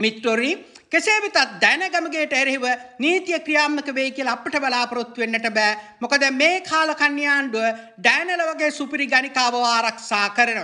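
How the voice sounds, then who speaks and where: At a very slow pace, a man projects a raised voice with an extremely high pitch, a bright, sharp tone and ordinary pitch variation. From Sri Lanka. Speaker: political commentator. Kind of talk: political commentary monologue. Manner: heated.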